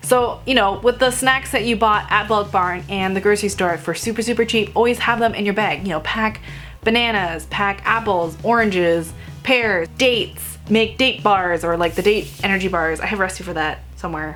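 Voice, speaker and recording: Music sounds in the background while a woman talks at a moderate pace. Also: medium pitch for a woman, ordinary pitch variation. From Vietnamese heritage. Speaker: vegan food blogger. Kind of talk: casual talk to camera. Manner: loud.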